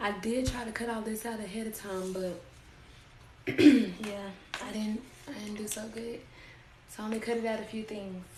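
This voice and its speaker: Soft-spoken and medium-pitched, a woman talks at a moderate pace with fairly even intonation, amid audible room echo and noticeable background noise. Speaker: crafter and small business owner. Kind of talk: live-stream tutorial. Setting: live stream. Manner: casual.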